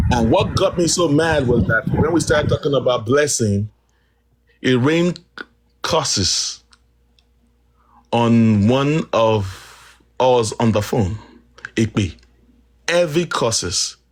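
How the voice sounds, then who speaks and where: Speaking at a very slow pace with long, frequent pauses, a man with a medium-pitched, somewhat breathy voice keeps his loudness very even while his intonation stays lively. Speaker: activist guest on live stream. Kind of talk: live stream discussion. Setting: live stream call. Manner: quiet, slow.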